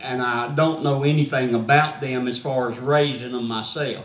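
Amid noticeable background noise and audible room echo, a man with a Gulf Coast accent speaks at a moderate pace. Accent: Southern US (Gulf Coast). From US South. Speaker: missionary evangelist. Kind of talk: sermon. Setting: church. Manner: preaching from the floor at a lectern.

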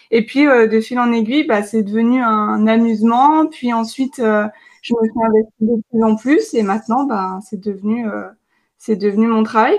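With an ordinary speaking voice, a woman of fairly high pitch talks at a fairly slow pace and with fairly even intonation against a quiet background. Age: 20s. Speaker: nutrition coach and dietetics student. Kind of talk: casual interview chat.

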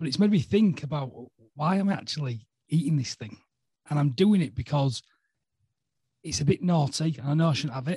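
Speaking in a Yorkshire accent at a fairly quick pace, a man has a fairly high, somewhat breathy voice with a dark, mellow tone and ordinary pitch variation. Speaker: podcast host. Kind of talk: casual chat.

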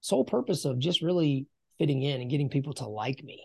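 This man's voice has a dark, mellow tone and fairly high pitch, with ordinary pitch variation. There is a quiet background. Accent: Southern US. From US South, rural South Carolina. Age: 40s. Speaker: business coach. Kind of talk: casual interview.

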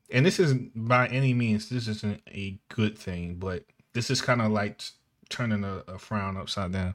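A man's normal speaking voice, fairly low in pitch, with ordinary pitch variation. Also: fairly slow pace. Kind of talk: casual banter. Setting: video call or stream.

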